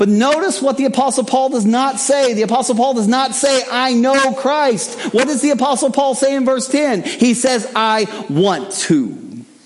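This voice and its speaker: A man speaks at an extremely high pitch and a moderate pace, with hardly any pauses. His loudness stays very even, and noticeable background noise runs underneath. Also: ordinary pitch variation. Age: 50s. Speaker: guest preacher. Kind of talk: sermon.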